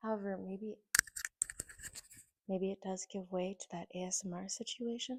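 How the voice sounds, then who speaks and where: A woman speaks at a moderate pace in a flat monotone, with long, frequent pauses and a dry, close sound that has no echo. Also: medium pitch for a woman. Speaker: tarot reader. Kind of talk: tarot reading. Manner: casual.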